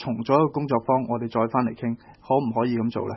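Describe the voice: A man talks at a very fast pace with a slightly husky edge.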